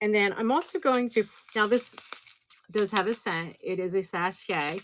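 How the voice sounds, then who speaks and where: This woman has an American accent. She talks fairly slowly. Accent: slight New Jersey accent, comes out at times. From New Jersey. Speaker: online live-sale seller. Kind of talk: livestream sales show. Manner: casual, chatty.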